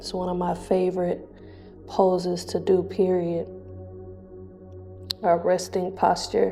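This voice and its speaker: Soft-spoken and at a fairly slow pace, a woman talks with music in the background. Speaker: yoga instructor. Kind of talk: guided yoga class.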